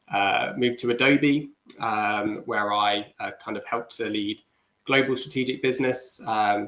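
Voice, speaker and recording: Fairly even intonation in a British accent. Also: man. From UK. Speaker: business development manager. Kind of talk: livestream panel chat.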